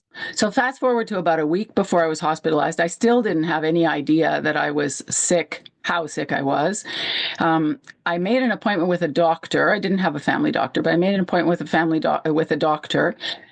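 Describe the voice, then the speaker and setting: A woman talks at a very fast pace, her pitch fairly low with ordinary variation. Noticeable background noise runs behind her. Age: 60s. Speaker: heart failure patient sharing her story. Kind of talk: personal testimony.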